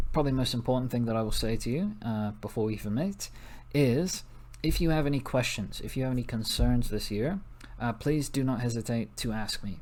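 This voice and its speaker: The speaker has a plain, everyday voice, with ordinary pitch variation and a moderate pace. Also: man. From US Northeast (New Jersey). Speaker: teacher. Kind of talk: recorded class introduction lesson. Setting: recorded video for online class.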